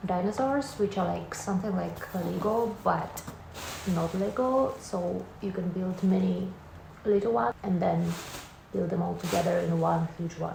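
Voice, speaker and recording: The woman's delivery is fairly slow. Clear noise and a noticeable room echo surround her voice. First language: Russian. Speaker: vlogger. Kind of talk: casual vlog talk to camera.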